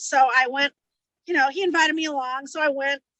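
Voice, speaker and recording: A woman speaks in a raised, projected voice at a high pitch. Her tone is bright and sharp, in a dry, close sound with no echo. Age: 60s. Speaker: book discussion group member. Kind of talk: casual chat.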